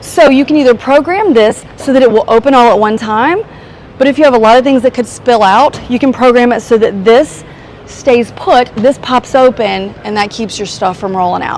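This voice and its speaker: Over noticeable background noise, a woman speaks in an animated tone at a high pitch, with ordinary pitch variation and a moderate pace. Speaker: car reviewer. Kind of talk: product walkaround tutorial.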